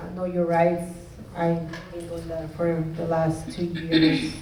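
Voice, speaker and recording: A woman with a Spanish accent speaks at a fairly slow pace in a fairly low pitch, with noticeable background noise and audible room echo. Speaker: community activist. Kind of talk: panel discussion. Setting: community center town hall.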